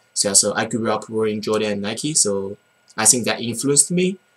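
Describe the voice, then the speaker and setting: Speaking with a Chinese accent, the man has a fairly low pitch and ordinary pitch variation. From China. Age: 20s. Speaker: college student sneaker vlogger. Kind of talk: casual vlog. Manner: halting, many fillers and repeats.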